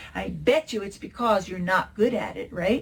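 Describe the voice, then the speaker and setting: Against noticeable background noise, a woman speaks in an animated tone at a moderate pace. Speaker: early childhood educator and presenter. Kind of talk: conference workshop presentation. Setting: online conference.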